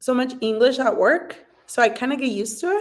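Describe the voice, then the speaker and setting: Fairly quick and high-pitched, a woman talks with a Spanish accent. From Mexico (Jalisco). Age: 30s. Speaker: social media influencer, restaurant worker. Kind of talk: casual livestream chat. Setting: livestream at a dining room table. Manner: animated.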